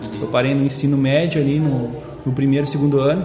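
A man talks at a fairly quick pace over noticeable background noise, with audible echo from the room. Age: 20s. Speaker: entrepreneur. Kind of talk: casual chat.

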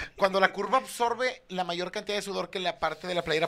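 Speaking at a fairly quick pace, this man has a bright, sharp tone and lively intonation. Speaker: comedian. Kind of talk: casual chat. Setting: studio.

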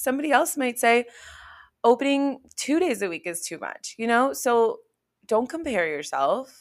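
A woman speaks at a moderate pace in a fairly high pitch, captured in a very clean recording with a silent background. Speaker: wellness podcast host and fitness instructor. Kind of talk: casual solo monologue. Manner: chatty, many fillers.

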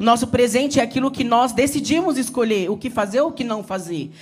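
In an animated tone, a man with an extremely high pitch speaks amid audible room echo. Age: 40s. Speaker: pastor. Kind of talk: sermon. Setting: church.

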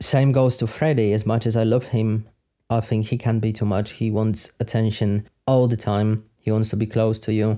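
A man's medium-pitched voice with a dark, mellow tone, monotone, flat intonation and very even loudness at a moderate pace, on a very clean recording with a silent background. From Poland. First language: Polish. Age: 30s. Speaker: podcaster. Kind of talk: Q&A monologue.

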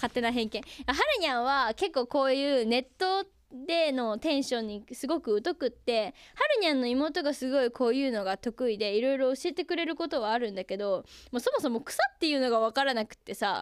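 A woman speaks at a high pitch with lively intonation. Her tone is animated. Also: fairly quick pace. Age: young. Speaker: radio personality and idol. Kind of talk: casual radio talk.

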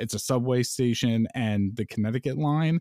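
On a dry, close sound with no echo, a man with an American accent speaks at medium pitch and a moderate pace in a normal speaking voice. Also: very clean recording, silent background. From New York. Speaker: podcast host. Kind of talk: casual chat.

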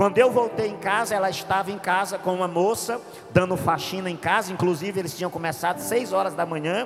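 In a room with audible echo and noticeable background noise, a man with a high voice talks at a very fast pace with fairly even intonation. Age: 40s. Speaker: pastor. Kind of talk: sermon. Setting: church.

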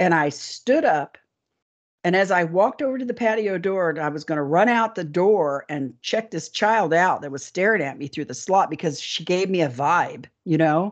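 A woman with an ordinary speaking voice and fairly low pitch talks at a moderate pace over a quiet background. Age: 60s. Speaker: alien abductee and author. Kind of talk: interview storytelling.

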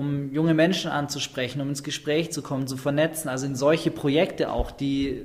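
A man with a normal speaking voice, medium in pitch. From Schwäbisch Hall, Swabia, Germany. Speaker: slam and stage performer. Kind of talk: casual interview.

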